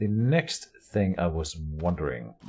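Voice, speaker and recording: A man speaks with a non-native accent and lively intonation. His very deep, low voice has a dark, mellow tone and is somewhat breathy. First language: not English. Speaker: gaming video creator. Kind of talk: let's play game commentary. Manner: casual, self-correcting.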